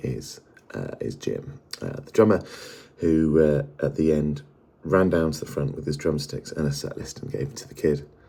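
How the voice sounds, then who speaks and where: Quiet, with big swings in loudness, a man speaks at a moderate pace in a very deep, low voice with ordinary pitch variation. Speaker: music fan vlogger. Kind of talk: casual vlog. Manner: quiet, hushed; halting, many fillers.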